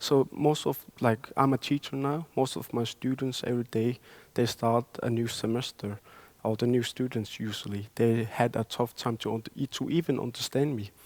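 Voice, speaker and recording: A very clean recording with a silent background captures a man at medium pitch with a Greenlandic accent, in a dry, close sound with no echo. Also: fairly even intonation, moderate pace. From Greenland, Upernavik. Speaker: poet. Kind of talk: panel conversation.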